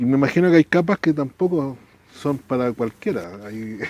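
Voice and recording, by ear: Lively intonation marks a man's speech, which moves at a moderate pace. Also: medium pitch for a man.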